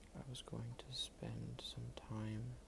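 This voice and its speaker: Soft-spoken and at a very slow pace, the voice comes through noticeable background noise. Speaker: ASMR creator. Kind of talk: ASMR soft-spoken talk while drawing. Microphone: phone near.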